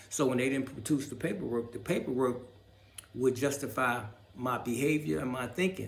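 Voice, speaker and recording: A man at medium pitch, ordinary pitch variation and a moderate pace, with audible room echo. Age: 60s. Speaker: video blogger. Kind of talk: personal monologue to camera. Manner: halting, stumbling; unscripted, rambling speech.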